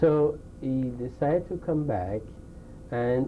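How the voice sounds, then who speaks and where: Audible room echo surrounds a man with a French accent. He speaks at a medium pitch with lively intonation. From France. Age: 60s. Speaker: Holocaust survivor. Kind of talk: oral history interview. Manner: halting.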